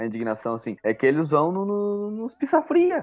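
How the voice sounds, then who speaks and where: A man speaks at a moderate pace. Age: 30s. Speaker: podcast co-host. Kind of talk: casual chat.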